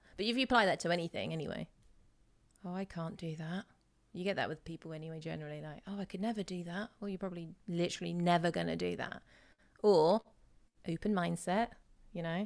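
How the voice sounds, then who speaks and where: Speech runs at a very fast pace in an English accent. Long pauses come often. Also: woman, fairly low pitch for a woman. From England. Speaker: voice coach. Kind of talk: casual chat. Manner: animated.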